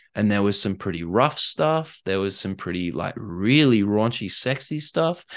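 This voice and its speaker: A man's fairly low voice with an Australian accent and lively intonation, over a quiet background. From Australia (Perth). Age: 30s. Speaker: author and life coach. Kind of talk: casual interview.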